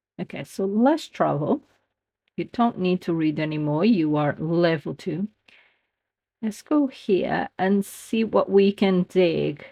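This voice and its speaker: A woman with a non-native accent speaks at a very slow pace and medium pitch, using lively intonation. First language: not English. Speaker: gaming youtuber. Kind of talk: gameplay commentary. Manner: halting.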